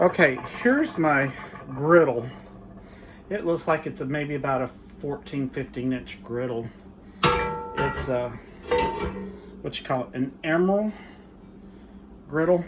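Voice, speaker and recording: With music in the background, a man talks at a fairly slow pace and a fairly high pitch, using ordinary pitch variation and long, frequent pauses. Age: 60s. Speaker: home cook YouTuber. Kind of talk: cooking tutorial. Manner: casual, halting with fillers.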